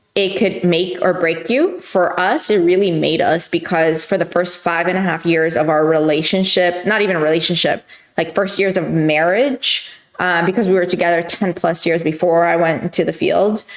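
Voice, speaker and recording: A woman with a fairly low pitch speaks at a moderate pace, her intonation fairly even and her loudness very even. Noticeable background noise runs behind her. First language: not English. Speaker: youtuber answering viewer questions. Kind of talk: casual q&a monologue. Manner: hesitant, many fillers.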